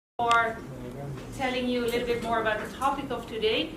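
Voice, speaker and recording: In a Dutch accent, a woman speaks at a fairly high pitch amid audible room echo and noticeable background noise. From Netherlands. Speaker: university statistics lecturer. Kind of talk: academic talk.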